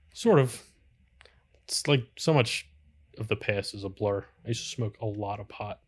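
This man has a fairly low pitch, a somewhat breathy voice and ordinary pitch variation, speaking at a moderate pace. His loudness swings widely, long pauses come often, and the recording is very clean with a silent background. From Philadelphia suburbs, US. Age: 30s. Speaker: carpenter. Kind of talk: casual chat.

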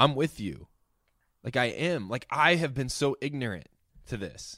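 A man's bright, sharp voice with vocal fry, lively intonation and long, frequent pauses, on a very clean recording with a silent background. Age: 30s. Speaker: podcast host. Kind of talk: casual chat.

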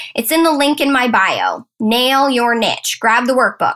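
A woman speaks at a moderate pace with a high voice and lively intonation. Her tone is animated. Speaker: podcast host and business coach. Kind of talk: solo motivational podcast monologue.

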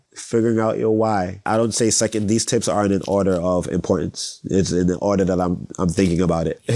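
This man has an unremarkable speaking voice, fairly low in pitch, with fairly even intonation. He talks at a fairly quick pace with very even loudness and hardly any pauses. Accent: American. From Brooklyn, New York. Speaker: dancer, choreographer and musician. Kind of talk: interview, casual chat.

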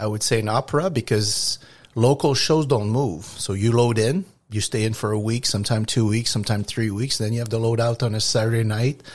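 A somewhat breathy voice in a Quebec accent at a moderate pace, on a very clean recording with a silent background. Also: man. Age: 60s. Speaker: trucking company owner. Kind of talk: interview. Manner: halting.

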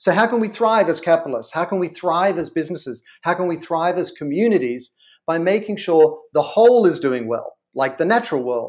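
At a fairly quick pace, a man with an Australian accent speaks in a high pitch with lively intonation, recorded very cleanly against a silent background. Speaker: brand consultant and author. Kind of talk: interview.

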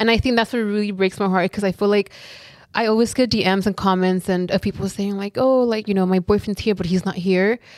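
A woman with an American accent speaks at a very fast pace in fairly even intonation. The recording is very clean with a silent background and a dry, close sound with no echo. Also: medium pitch for a woman. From South Central Los Angeles. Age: 20s. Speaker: influencer. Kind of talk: casual chat.

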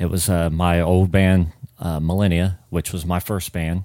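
A man with a very deep, low pitch and a dark, mellow tone speaks at a fairly slow pace on a very clean recording with a silent background. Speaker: musician. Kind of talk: casual interview chat.

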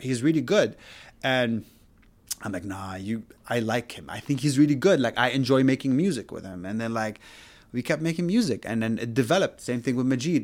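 The speaker has an Arabic accent, lively intonation and a fairly quick pace, with big swings in loudness. The recording is very clean with a silent background. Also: man, medium pitch for a man. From Syria and Saudi Arabia. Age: 30s. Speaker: music producer. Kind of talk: casual chat. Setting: home studio in a bedroom.

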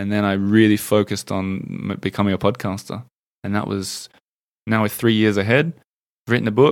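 Fairly quick speech broken by long, frequent pauses, with fairly even intonation, on a very clean recording with a silent background. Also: man, fairly low pitch for a man. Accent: Australian. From Australia. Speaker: podcaster, former journalist. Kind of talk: casual interview chat.

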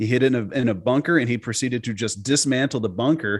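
A normal speaking voice from a man, fairly quick in pace with ordinary pitch variation, on a very clean recording with a silent background. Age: 40s. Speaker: golf analytics founder, former pro golfer. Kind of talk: podcast interview.

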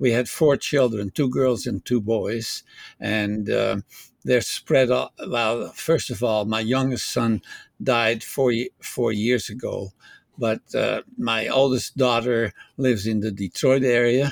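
Speaking at a very slow pace with fairly even intonation, a man with a slight Dutch accent is heard in a dry, close sound with no echo. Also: medium pitch for a man. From Netherlands. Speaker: retirement home resident and ham radio hobbyist. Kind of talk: interview. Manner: halting.

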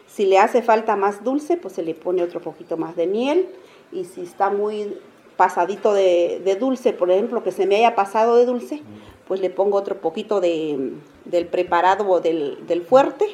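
Her speed is moderate. The woman's pitch sits at a medium level and varies in an ordinary way. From Zacatepec, Oaxaca, Mexico. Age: 50s. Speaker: traditional drink maker and vendor. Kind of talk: interview, explaining a recipe. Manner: halting.

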